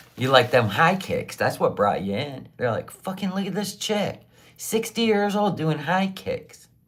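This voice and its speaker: A woman's medium-pitched voice, animated in tone with vocal fry, lively intonation and a fairly slow pace. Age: 60s. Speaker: livestreamer selling handmade tumblers. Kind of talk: casual livestream chat.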